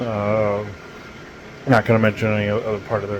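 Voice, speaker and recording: There is noticeable background noise as a man talks at a moderate pace. His fairly low voice is monotone and flat. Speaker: spiritual channeler podcast host. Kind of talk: casual monologue. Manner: halting, stammering.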